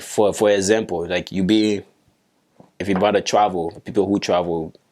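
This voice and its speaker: With a Liberian accent, a man talks at a moderate pace in a fairly low, monotone, flat voice. The recording is very clean, with a silent background. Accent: Liberian accent, unchanged after years in US. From Liberia, Bong County. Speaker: soccer player. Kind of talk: podcast interview.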